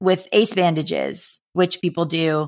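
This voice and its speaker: A woman at a very slow pace, her intonation monotone and flat. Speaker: author and comedian, LGBTQ advocate. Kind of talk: interview. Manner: halting, many fillers.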